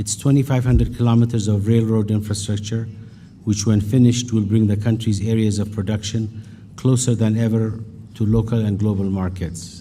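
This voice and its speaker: A man with an Ethiopian accent, fairly low in pitch, dark and mellow in tone, somewhat breathy, monotone and flat, at a fairly quick pace, with audible room echo. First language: Amharic. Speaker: business leader. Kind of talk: keynote speech.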